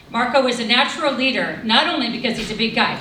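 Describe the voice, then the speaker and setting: Over noticeable background noise, a woman speaks at a fairly high pitch. Her fairly quick pace carries audible room echo. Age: 60s. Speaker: teacher. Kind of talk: award speech.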